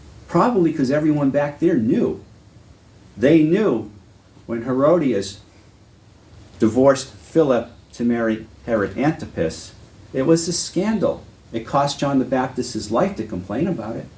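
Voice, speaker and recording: With a Boston accent, a man speaks at a medium pitch and moderate pace, his tone dark and mellow, somewhat breathy, with lively intonation. Long, frequent pauses break his speech, and audible room echo surrounds him. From New England, Massachusetts. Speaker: Bible teacher. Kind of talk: lecture. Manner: conversational.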